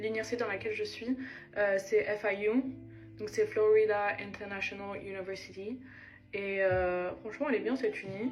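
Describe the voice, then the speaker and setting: Over music in the background, a woman speaks at a moderate pace and a fairly high pitch, with fairly even intonation and long, frequent pauses. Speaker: lifestyle vlogger, student. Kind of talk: casual get-ready-with-me vlog chat. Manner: casual, hesitant with many fillers.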